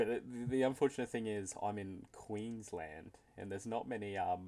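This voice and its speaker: A dark, mellow tone with an Australian accent. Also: man, fairly low pitch for a man, ordinary pitch variation, moderate pace. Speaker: interviewer, league announcer. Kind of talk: casual interview.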